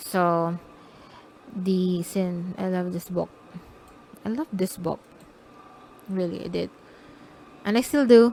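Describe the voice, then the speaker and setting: A woman speaks at a medium pitch with a dark, mellow tone and ordinary pitch variation. Her pace is very slow, broken by long, frequent pauses. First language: not English. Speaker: self-published romance author. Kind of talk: casual vlog talk about own books. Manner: halting, self-correcting.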